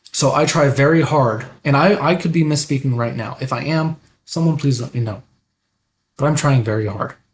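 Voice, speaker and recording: Somewhat breathy, fairly high male voice with ordinary pitch variation at a moderate pace. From United States. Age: 30s. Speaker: live streamer, political commentator. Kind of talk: live stream commentary. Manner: hesitant, with fillers.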